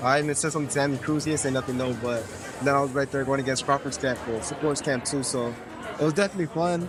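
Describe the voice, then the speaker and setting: A man with an American accent talks at a very fast pace in a fairly high pitch. His intonation stays fairly even, with noticeable background noise and audible room echo. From US West Coast, Pomona, California. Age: 20s. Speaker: boxer. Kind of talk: interview. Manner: halting, many fillers.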